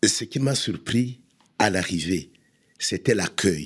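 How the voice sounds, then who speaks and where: Speech unfolds very slowly, yet the intonation stays lively throughout. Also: man. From Democratic Republic of the Congo. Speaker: immigrant guest. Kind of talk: podcast interview.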